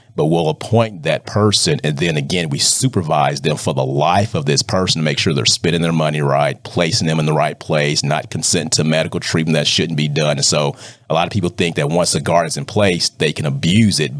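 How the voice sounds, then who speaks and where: Against noticeable background noise, a man with a very deep, low voice talks at a fairly quick pace with hardly any pauses and ordinary pitch variation. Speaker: probate judge. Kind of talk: interview. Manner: fast.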